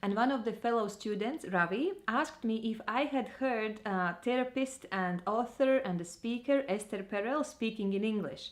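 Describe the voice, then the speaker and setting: With a strong Eastern European accent, the speaker talks at a moderate pace using lively intonation. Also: woman, hardly any pauses. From Latvia. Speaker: vlogger and trainer. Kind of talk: personal vlog monologue.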